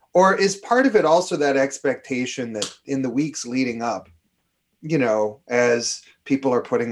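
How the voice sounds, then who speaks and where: At a moderate pace, a man with an Upper Midwest accent speaks at medium pitch. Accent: Upper Midwest (Minnesota). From Minnesota. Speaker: climatologist. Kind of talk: interview about weather. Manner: animated.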